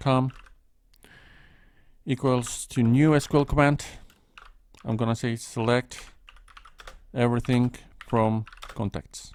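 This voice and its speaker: The speaker has a non-native accent and talks at a fairly slow pace. Long pauses come often. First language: not English. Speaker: programming tutor. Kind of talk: screen-recorded coding tutorial. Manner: halting, thinking aloud.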